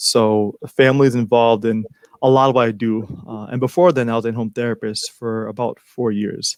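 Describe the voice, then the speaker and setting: An unremarkable speaking voice moves at a fairly quick pace with fairly even intonation, heard in a dry, close sound with no echo. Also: man, medium pitch for a man. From Haitian-American background. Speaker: mental health counselor. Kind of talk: interview.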